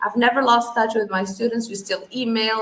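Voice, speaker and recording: A woman with fairly even intonation over noticeable background noise. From Algeria. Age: 30s. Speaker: English language trainer. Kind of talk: interview. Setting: livestream.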